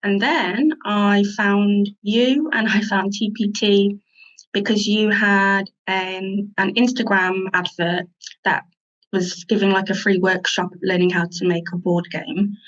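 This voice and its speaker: At a very slow pace, a woman with an English accent talks at medium pitch, with ordinary pitch variation and very even loudness. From England. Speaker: teacher and online store owner. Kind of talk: interview.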